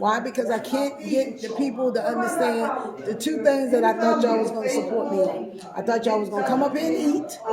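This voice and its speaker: A woman talks at a fairly quick clip in a fairly high voice with an animated tone and ordinary pitch variation. Music plays in the background, and the room echoes audibly. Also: hardly any pauses. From Baltimore, Maryland, US. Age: 60s. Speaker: business owner and radio show host. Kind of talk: casual interview.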